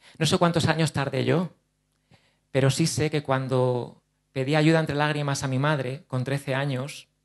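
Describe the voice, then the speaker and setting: This man's voice has a fairly high pitch and a monotone, flat intonation. He speaks at a fairly slow pace against a quiet background. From Spain, Ciudad Real province (La Mancha); Castilla-La Mancha, Spain. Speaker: actor and speaker on OCD; actor, speaker. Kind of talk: conference talk. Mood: earnest, personal, open. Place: hall. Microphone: handheld.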